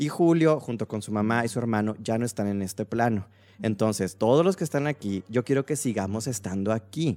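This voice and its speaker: With a dark, mellow tone and medium pitch, a man speaks with lively intonation. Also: fairly quick pace, very clean recording, silent background. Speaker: podcast host. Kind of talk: casual chat. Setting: live stream.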